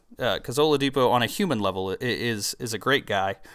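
With lively intonation and a fairly quick pace, a man talks in an unremarkable speaking voice on a very clean recording with a silent background. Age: 20s. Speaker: sports podcast host. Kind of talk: solo sports talk podcast. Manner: conversational with frequent fillers and restarts.

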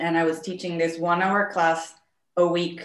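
A woman speaks at a fairly quick pace with a Spanish accent. Her pitch is fairly low, and the room echo is audible. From Mexico, Monterrey. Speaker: bookbinder. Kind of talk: interview.

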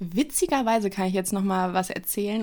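At a moderate pace and with ordinary pitch variation, a woman speaks in a very clean recording with a silent background. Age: 20s. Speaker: model and media designer. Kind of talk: casual interview. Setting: studio office, two mics.

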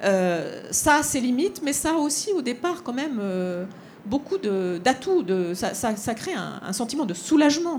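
Very slow speech moves through very wide pitch swings. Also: woman, high pitch for a woman. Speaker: politician and think tank cofounder. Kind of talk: panel discussion. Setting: stage with audience.

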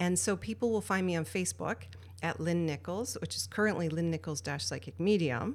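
A woman speaks with a very deep, low pitch and vocal fry. Her pitch swings very widely. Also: very clean recording, silent background. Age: 50s. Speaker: intuition expert and speaker. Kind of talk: casual interview. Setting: studio.

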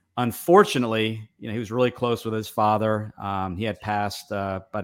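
In a very clean recording with a silent background, a man talks with fairly even intonation at a fairly low pitch. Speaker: franchise consultant. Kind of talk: casual chat. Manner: halting, repeats words.

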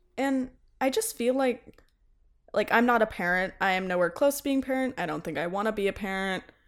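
On a very clean recording with a silent background, a woman talks fairly quickly with a fairly high pitch and lively intonation. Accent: American. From US South, Tennessee. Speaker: theater performer and student. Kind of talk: casual chat.

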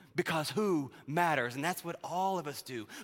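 A man speaks at a moderate pace. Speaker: minister. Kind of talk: sermon. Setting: church.

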